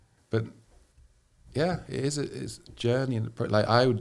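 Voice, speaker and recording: With an English accent, a man speaks with lively intonation and vocal fry. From England. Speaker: missionary. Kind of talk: podcast interview.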